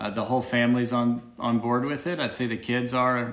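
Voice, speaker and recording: A moderate pace with an American accent, over noticeable background noise. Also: man. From Arkansas, US South. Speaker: supportive husband, co-host. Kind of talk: casual livestream Q&A.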